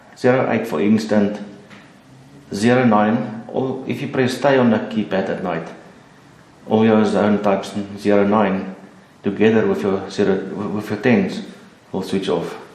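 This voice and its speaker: A man's fairly low voice with a non-native accent, fairly even intonation, a fairly slow pace and long, frequent pauses. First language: not English. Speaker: alarm installer. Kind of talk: how-to tutorial.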